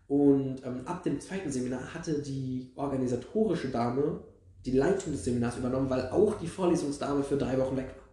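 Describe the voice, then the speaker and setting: Noticeable background noise and audible room echo surround this man's voice. He talks at a fairly quick pace with a fairly high pitch and ordinary pitch variation. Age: 20s. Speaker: podcast co-host, history and archaeology student. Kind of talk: casual chat.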